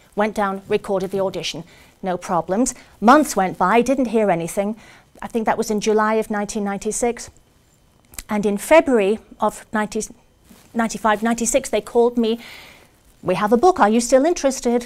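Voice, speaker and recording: A woman with a British accent speaks at a fairly high pitch with ordinary pitch variation. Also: moderate pace. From Britain. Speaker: actress and audiobook narrator. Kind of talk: public speech to a club audience.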